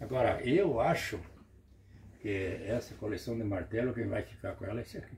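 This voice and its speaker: Long, frequent pauses break up a somewhat breathy voice, heard over light background noise. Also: man, medium pitch for a man, ordinary pitch variation, moderate pace. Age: 80s+. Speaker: retired truck driver and hammer collector. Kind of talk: casual chat. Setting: at his home. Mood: calm, nostalgic. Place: home room. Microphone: phone near.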